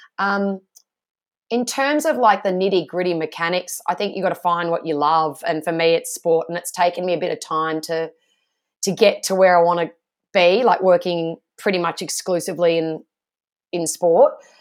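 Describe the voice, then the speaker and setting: With an Australian accent, a woman speaks at a moderate pace in a fairly low pitch with ordinary pitch variation, recorded very cleanly against a silent background. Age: 30s. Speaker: sports broadcaster. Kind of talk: interview.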